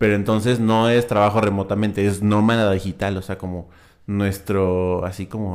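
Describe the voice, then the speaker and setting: A man speaks at a moderate pace in a fairly low voice. His intonation is flat and monotone. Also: very clean recording, silent background. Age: 20s. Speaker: podcast co-host. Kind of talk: casual chat.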